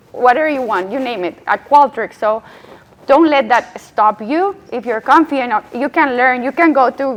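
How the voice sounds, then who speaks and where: A woman with a Colombian accent and a high pitch, at a moderate pace with ordinary pitch variation, amid noticeable background noise. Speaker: UX strategist. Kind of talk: panel discussion.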